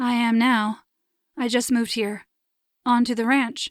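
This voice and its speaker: A woman puts on a character voice with high pitch and monotone, flat intonation at a moderate pace. The recording is very clean, with a silent background. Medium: read story. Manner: guarded, reserved.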